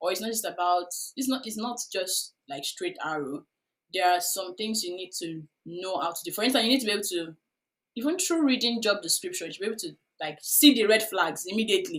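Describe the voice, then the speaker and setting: A woman with a Nigerian accent talks fairly quickly at medium pitch, with very wide pitch swings and big swings in loudness. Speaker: UX career coach. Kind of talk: podcast interview. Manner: hesitant, many fillers.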